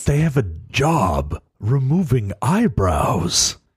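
A man uses a put-on character voice at a medium pitch. He speaks very slowly with very wide pitch swings. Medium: actual play.

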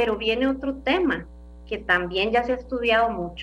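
Speaking at a moderate pace, a woman with a fairly high pitch shows lively intonation and vocal fry. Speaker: clinical psychologist and gerontologist. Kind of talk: radio interview.

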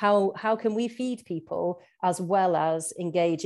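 The recording is very clean and the background silent as a woman talks with a dark, mellow tone. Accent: West Midlands. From Shropshire, England. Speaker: farmer and PhD student. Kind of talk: casual interview.

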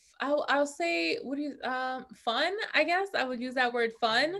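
A woman speaks with a New York accent. Her pitch makes very wide swings. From US Northeast, New York (Bronx). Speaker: reality show winner, entrepreneur. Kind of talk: casual chat.

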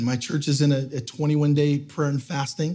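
A man speaks in a fairly high pitch with a dark, mellow tone. His voice is somewhat breathy, with audible room echo. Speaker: guest pastor. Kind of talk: sermon. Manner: halting, many fillers.

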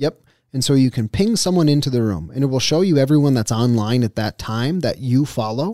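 In an American accent, a man talks at a fairly quick pace with a dark, mellow tone and medium pitch, the sound dry and close with no echo. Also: lively intonation. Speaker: podcast host, marketer. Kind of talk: casual chat.

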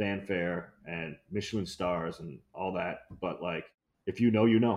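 A man with a very deep, low pitch and an American accent, against a quiet background. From US Midwest (Ohio/Detroit), partly Brazil. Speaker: chef and restaurateur. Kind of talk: casual interview chat.

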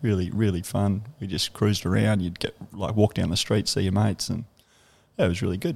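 A man speaks with a strong Australian accent and ordinary pitch variation. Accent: broad Australian. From Canberra, Australia. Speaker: bar owner. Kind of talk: casual interview chat. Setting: in a bar, on location.

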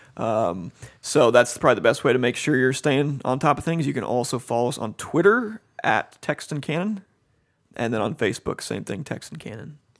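A man in an American accent, medium pitch and lively intonation, a normal speaking voice. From Cincinnati, Ohio. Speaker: seminary professor. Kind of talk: casual interview.

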